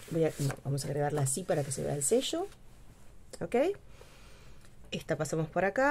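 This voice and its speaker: Light background noise sits behind a woman whose voice is very deep and low. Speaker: craft youtuber. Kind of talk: craft tutorial. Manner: casual, hesitant with fillers. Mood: relaxed, chatty.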